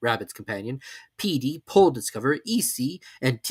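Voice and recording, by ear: The speaker is reading aloud in a natural voice with lively intonation.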